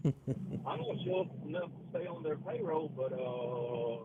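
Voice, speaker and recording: Someone speaks at a moderate pace with a Mississippi accent. Background noise is noticeable. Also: man. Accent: US Southern (Mississippi). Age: 60s. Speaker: caller, fuel truck driver. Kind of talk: casual chat.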